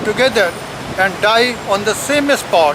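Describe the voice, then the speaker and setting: With an Indian accent, a man projects a raised voice at an extremely high pitch. He speaks at a fairly slow pace over noticeable background noise. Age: 70s. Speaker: professor. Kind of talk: reading aloud.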